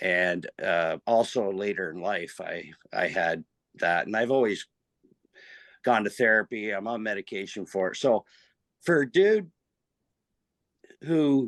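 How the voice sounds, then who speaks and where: With a Canadian accent, a fairly low-voiced man speaks fairly slowly and with lively intonation, in a dry, close sound with no echo against a quiet background. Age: 60s. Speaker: amateur race car driver. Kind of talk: podcast interview. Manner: halting, many fillers.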